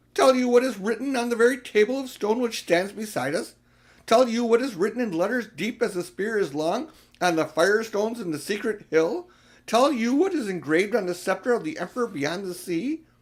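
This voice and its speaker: The speaker uses a put-on character voice that is shrill. The pace is fairly quick. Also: man, high pitch for a man. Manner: scornful, rising in pitch.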